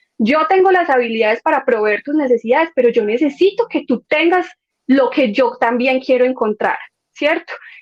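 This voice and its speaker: With a paisa accent, a woman speaks at a high pitch and moderate pace, her intonation lively and her loudness very even, in a dry, close sound with no echo. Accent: paisa Medellín. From Colombia, Medellín (paisa). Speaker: former au pair. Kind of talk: podcast interview.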